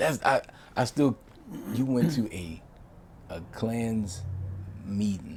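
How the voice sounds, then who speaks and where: Speaking at a very slow pace with long, frequent pauses, a man uses lively intonation. His medium-pitched voice is somewhat breathy. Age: 30s. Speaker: podcast host. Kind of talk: interview.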